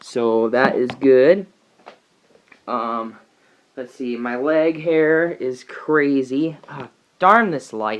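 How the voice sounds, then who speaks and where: A man talks with ordinary pitch variation. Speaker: vlogger. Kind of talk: video diary. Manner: casual, hesitant.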